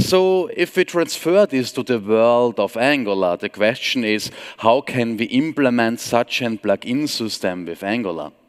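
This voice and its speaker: A man in an Austrian accent, medium-pitched with very wide pitch swings, fairly slow with hardly any pauses, in a dry, close sound with no echo. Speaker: software trainer and consultant. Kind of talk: conference talk.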